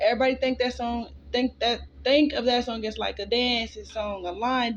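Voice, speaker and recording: At a moderate pace, a woman speaks in a fairly high voice with fairly even intonation. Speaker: tarot reader. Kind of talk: collective tarot reading. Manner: casual, filler-heavy.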